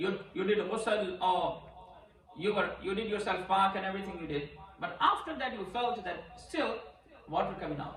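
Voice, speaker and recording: Against noticeable background noise and audible room echo, a man speaks at a moderate pace. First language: Urdu or Punjabi. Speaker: imam teaching Islamic rulings. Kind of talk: religious lecture. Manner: halting, repetitive non-native English.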